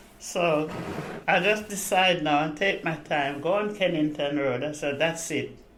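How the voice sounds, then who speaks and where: Against noticeable background noise and audible room echo, a woman with a very deep, low pitch speaks at a fairly slow pace with ordinary pitch variation. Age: 80s+. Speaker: retired care worker. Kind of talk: oral history interview.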